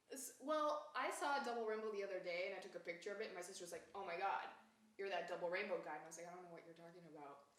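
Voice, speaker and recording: Amid audible room echo, a woman talks at a very fast pace with a medium pitch, lively intonation and big swings in loudness. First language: Japanese. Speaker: singer-songwriter and YouTuber. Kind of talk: casual comedic interview.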